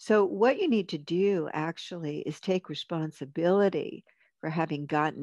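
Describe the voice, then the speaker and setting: An unremarkable speaking voice from a fairly low-pitched woman, at a moderate pace with ordinary pitch variation, in a dry, close sound with no echo and a quiet background. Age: 60s. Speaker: marriage and family therapist and author. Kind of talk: casual chat.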